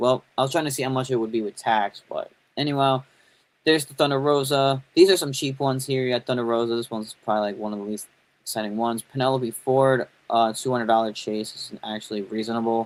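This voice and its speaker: A man with a New York accent at a very fast pace, fairly even intonation and big swings in loudness. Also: medium pitch for a man. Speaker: toy and wrestling YouTuber. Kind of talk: live stream commentary. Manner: casual, rambling; mumbling at times.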